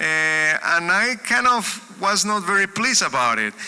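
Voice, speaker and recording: Speaking with a Spanish accent, a man projects a raised voice at a fairly slow pace with ordinary pitch variation. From Colombia. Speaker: music educator and speaker. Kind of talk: sermon-style talk. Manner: halting, with repetitions.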